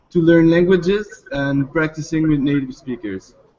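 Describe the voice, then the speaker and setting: A man speaks with a French accent. His voice is fairly high and his delivery fairly slow. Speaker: startup founder. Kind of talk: startup pitch Q&A. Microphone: line cutting out.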